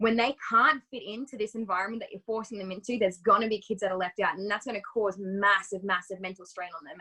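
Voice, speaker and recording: In an Australian accent, a woman of medium pitch speaks at a very fast pace with fairly even intonation. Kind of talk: interview.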